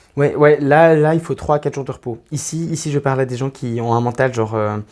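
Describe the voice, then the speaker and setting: This man talks at a fairly quick pace. His pitch is fairly high, with ordinary pitch variation. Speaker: tarot reader. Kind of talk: tarot reading to camera. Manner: fast; hesitant, many fillers.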